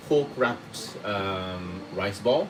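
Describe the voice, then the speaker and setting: Background noise is noticeable. The speech has ordinary pitch variation and a fairly slow pace. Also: man. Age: 30s. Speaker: cooking teacher. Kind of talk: live cooking lesson. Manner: casual, chatty.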